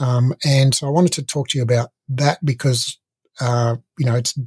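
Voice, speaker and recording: Somewhat breathy speech at a moderate pace over a quiet background. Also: man. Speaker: podcast host. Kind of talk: interview question, casual conversation. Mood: relaxed, friendly, laughing. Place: home room. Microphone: studio mic.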